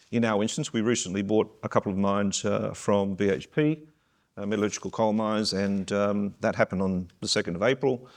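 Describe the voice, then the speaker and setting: With an Australian accent, a man talks at a fairly quick pace in a fairly low pitch over a quiet background. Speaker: mining company CEO, panelist. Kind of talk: panel discussion.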